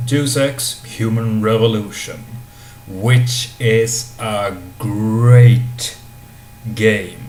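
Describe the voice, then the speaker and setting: A man of medium pitch with a non-native accent is heard through audible room echo and noticeable background noise. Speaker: video game reviewer. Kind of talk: video game review. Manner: hesitant, many fillers.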